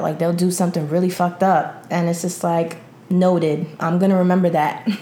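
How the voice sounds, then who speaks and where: Speaking at a fairly quick pace, a woman with an American accent uses a fairly low pitch and a monotone, flat intonation, with noticeable background noise behind her. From New York City. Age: 20s. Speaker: secretary and aspiring publicist. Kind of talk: casual chat.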